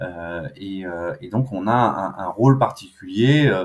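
This is a man speaking at a fairly low pitch. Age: 40s. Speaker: public finance program director. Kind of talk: interview. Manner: casual with frequent hesitations.

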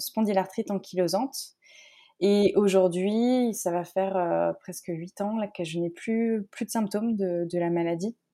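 Speaking very slowly, a woman has a dark, mellow tone, medium pitch and fairly even intonation. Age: 30s. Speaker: naturopath and coach. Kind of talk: casual interview.

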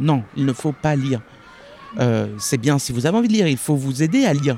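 A fairly high-pitched man rushes through his words at a very fast pace amid noticeable background noise. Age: young. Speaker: bookseller. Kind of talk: interview conversation. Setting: outdoors in a park. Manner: hesitant, many fillers.

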